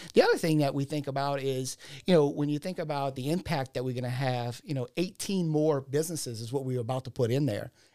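With a South Louisiana accent, a man speaks very fast with hardly any pauses, his dark, mellow voice fairly high in pitch with ordinary variation, in a very clean recording over a silent background. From South Louisiana, Ascension/Assumption Parish. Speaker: entrepreneur, insurance agent. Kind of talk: casual interview.

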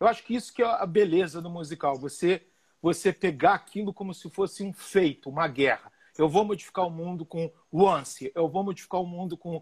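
Recorded very cleanly against a silent background, a man with a high pitch talks at a fairly quick pace with ordinary pitch variation and a dry, close sound with no echo. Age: 50s. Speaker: musical theatre director. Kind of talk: interview. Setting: live stream. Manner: animated.

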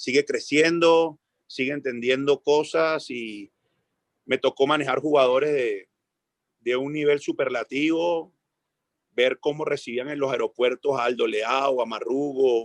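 An unremarkable speaking voice, this man's is fairly high in pitch with fairly even intonation, delivered at a fairly slow pace in dry, close sound with no echo. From Venezuela. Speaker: football coach. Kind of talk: interview.

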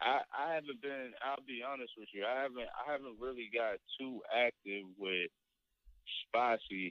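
A man with an American accent talks in an ordinary speaking voice at a moderate pace. His pitch is medium, with ordinary pitch variation. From Virginia, Spotsylvania / Fredericksburg area. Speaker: community member, friend of host. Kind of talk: casual chat. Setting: phone call.

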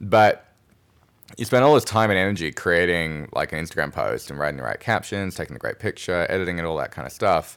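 With an Australian accent, the speaker talks fairly quickly with lively intonation. The recording is very clean and the background silent. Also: man. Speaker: podcast co-host, marketing expert. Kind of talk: casual chat.

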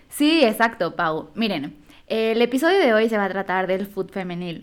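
This woman has an unremarkable speaking voice at a medium pitch. She talks at a fairly slow pace. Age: 20s. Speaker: podcast co-host. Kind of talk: casual chat.

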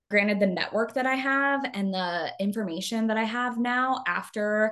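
Talking at a moderate pace with an American accent, a woman has a normal speaking voice and a fairly high pitch. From Arizona. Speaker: communications consultant and tech sales leader. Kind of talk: interview conversation.

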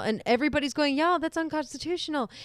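Loud and very fast, a woman talks in a high pitch with ordinary pitch variation. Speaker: podcast co-host. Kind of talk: casual chat.

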